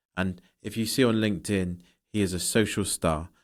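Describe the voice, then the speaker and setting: A man with a normal speaking voice and a fairly low pitch talks with fairly even intonation on a very clean recording with a silent background. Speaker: company founder and podcast host. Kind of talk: interview host questions.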